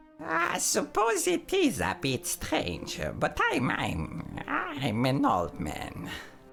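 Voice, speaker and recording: Over clear background noise, a man performs a put-on character voice at a very slow pace with hardly any pauses. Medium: machinima. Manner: formal, fussy.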